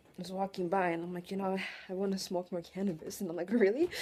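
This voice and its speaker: A woman speaks with a Russian accent. Her pace is fairly quick. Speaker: vlogger. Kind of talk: emotional personal monologue. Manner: halting, emotional.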